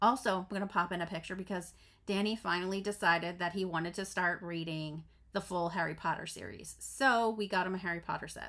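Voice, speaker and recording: A woman with a bright, sharp tone speaks at a fairly quick pace, a medium pitch and fairly even intonation on a very clean recording with a silent background. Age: 40s. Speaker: crafting vlogger. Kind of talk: casual vlog chat. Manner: stumbling over words.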